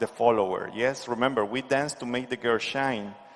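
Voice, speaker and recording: A man with a Spanish accent, medium-pitched, with ordinary pitch variation and a moderate pace. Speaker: dance instructor. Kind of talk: tutorial. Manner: halting.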